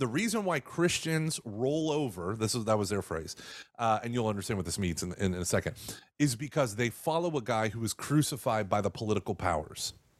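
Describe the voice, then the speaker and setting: A man's ordinary speaking voice at medium pitch, with lively intonation, on a very clean recording over a silent background. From Texas. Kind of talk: interview on radio podcast. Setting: radio show.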